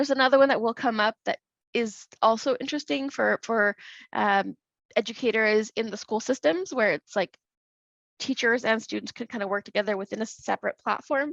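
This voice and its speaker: In a dry, close sound with no echo and a quiet background, a woman speaks at a fairly quick pace and fairly high pitch with ordinary pitch variation. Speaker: conference presenter. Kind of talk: presentation. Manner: fast; halting.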